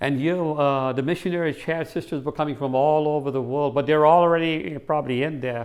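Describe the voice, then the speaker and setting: This man has a fairly high pitch and speaks at a moderate pace. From US Northeast (Connecticut), born in India. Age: 60s. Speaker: faith testimony guest. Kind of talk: testimony. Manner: halting, many fillers and repetitions.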